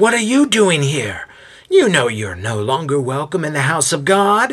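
A man puts on a nasal character voice, pitched fairly high with very wide pitch swings, at a moderate pace. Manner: annoyed, confrontational.

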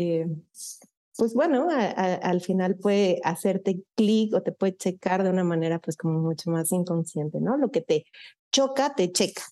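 A woman with a Mexico City accent speaks at a medium pitch and a fairly slow pace, her tone dark and mellow. The sound is dry and close with no echo, over a quiet background. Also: ordinary pitch variation, very even loudness. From Mexico City, Satélite area. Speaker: psychologist and HR director. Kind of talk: interview, personal life story.

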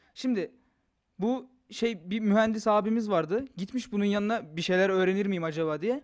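Recorded very cleanly against a silent background, a man speaks at a moderate pace with a high pitch and ordinary pitch variation. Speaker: podcast co-host. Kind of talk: casual chat. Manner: animated.

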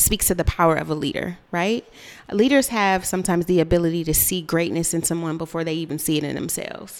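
A woman with a plain, everyday voice, a fairly low pitch, and ordinary pitch variation. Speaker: radio co-host. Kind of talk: casual radio talk show. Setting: radio studio.

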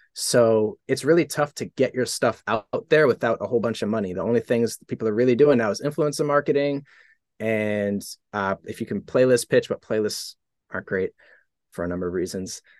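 A man with an American accent speaks at a fairly quick pace and medium pitch with ordinary pitch variation, in an unremarkable speaking voice. The sound is dry and close with no echo against a quiet background. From Boston, Massachusetts. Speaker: music producer and rapper. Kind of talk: casual interview chat. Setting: home studio.

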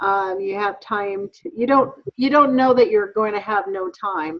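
Speaking at a fairly slow pace, a woman with lively intonation has an ordinary speaking voice. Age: 50s. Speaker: work supervisor. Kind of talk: casual chat.

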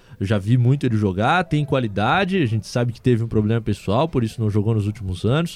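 At a fairly quick pace, a man speaks with an ordinary speaking voice, a medium pitch and ordinary pitch variation. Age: 20s. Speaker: sports journalist, podcast co-host. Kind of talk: casual football podcast chat.

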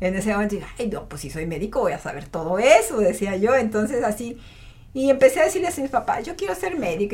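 Talking at a very fast pace, a woman with a fairly high pitch swings very widely in pitch while noticeable background noise runs behind her. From Mexico, Matehuala, San Luis Potosí. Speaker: otolaryngologist. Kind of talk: interview.

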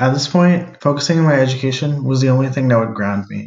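A man with an ordinary speaking voice at medium pitch. His pitch varies in the usual way, and he talks at a fairly quick pace. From US Northeast and Cleveland, Ohio. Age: 20s. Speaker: podcast co-host. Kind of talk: personal narrative monologue.

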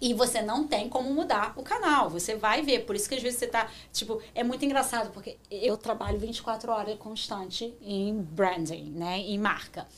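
A woman with a fairly high pitch speaks at a moderate pace with hardly any pauses and ordinary pitch variation. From Brazil, Rio de Janeiro. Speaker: marketing professional. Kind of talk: interview.

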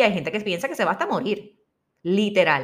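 A woman's pitch swings very widely as she talks in an animated tone. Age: 40s. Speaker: podcast host and spiritual healing coach. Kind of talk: inspirational monologue.

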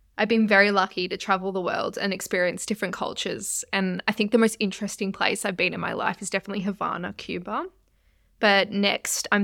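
Against a silent background on a very clean recording, a woman with an Australian accent speaks at a fairly quick pace in a medium pitch with monotone, flat intonation. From Australia, Melbourne. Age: 20s. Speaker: nutritionist sharing recovery story. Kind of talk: scripted personal narration.

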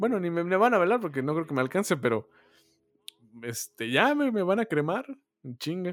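Moderate pace with very wide pitch swings and long, frequent pauses, in a Mexican accent, dry and close with no echo, music in the background. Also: man, high pitch for a man. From Mexico. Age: 20s. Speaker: podcast co-host. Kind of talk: casual chat.

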